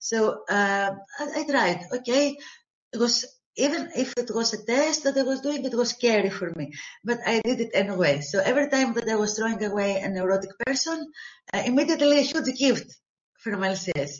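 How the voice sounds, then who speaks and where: A woman speaks with a fairly high pitch and a non-native accent. Her intonation is lively. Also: moderate pace. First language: not English. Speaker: therapist, call participant. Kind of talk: asking question, partly read from notes.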